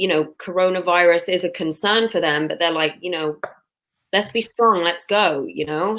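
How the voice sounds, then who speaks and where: A fairly low female voice with a bright, sharp tone, moderate pace and fairly even intonation. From London, England. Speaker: dental student. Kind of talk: interview.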